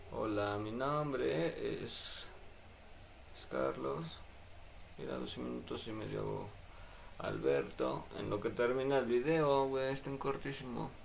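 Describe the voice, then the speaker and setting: A man speaks at a very slow pace, leaving long, frequent pauses. Room echo is audible. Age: 20s. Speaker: livestreamer and sign language student. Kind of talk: casual livestream chat. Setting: live stream at home computer.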